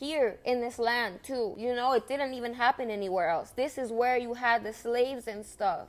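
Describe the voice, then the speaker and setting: Moderate pace, in a Spanish accent. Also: woman. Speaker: vlogger. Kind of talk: monologue vlog. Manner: halting, with restarts.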